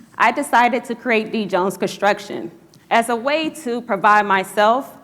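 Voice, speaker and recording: In an American accent, a woman with a plain, everyday voice speaks at a moderate pace with lively intonation. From Chicago South Side. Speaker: entrepreneur, construction company founder. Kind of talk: rehearsed business pitch.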